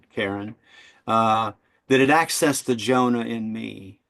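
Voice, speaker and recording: Here a man speaks at a medium pitch with an American accent. The background is quiet. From Kentucky, US. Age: 60s. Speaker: psychotherapist and debut author. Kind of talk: interview. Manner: halting, many fillers.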